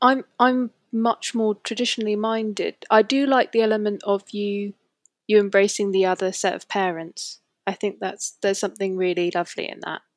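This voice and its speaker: A woman's normal speaking voice at medium pitch, moderate pace and fairly even intonation, in a dry, close recording with no echo. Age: 20s. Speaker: statistics office worker. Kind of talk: casual chat.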